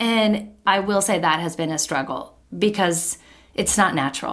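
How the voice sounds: A woman speaks with a fairly low pitch and ordinary pitch variation. Her tone is fairly bright. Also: moderate pace.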